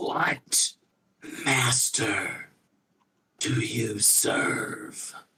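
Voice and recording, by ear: A man performs a raspy, put-on character voice.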